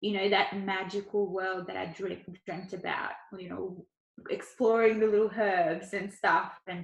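A woman with an Australian accent, somewhat breathy, at a fairly slow pace. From Ukraine, moved to Australia as a child. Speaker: Chinese medicine doctor and doula. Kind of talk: casual interview. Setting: at home on couch, remote recording.

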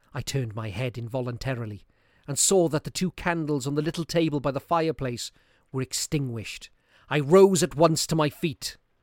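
A plain, everyday voice from a man, fairly high in pitch with lively intonation at a moderate pace, in a dry, close sound with no echo and a very clean recording with a silent background. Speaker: narrator reading a classic story aloud. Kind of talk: ghost story telling, dramatic reading aloud of a Victorian horror tale. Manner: suspenseful, building dread as candles go out one by one; voices characters' lines, e.g. rising panic in quoted cries.

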